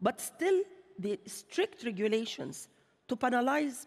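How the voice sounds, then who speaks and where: Speech at a moderate pace in an Arabic accent. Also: woman, quiet background. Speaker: bank chief executive; panelist. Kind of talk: panel discussion. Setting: stage with audience. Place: stage.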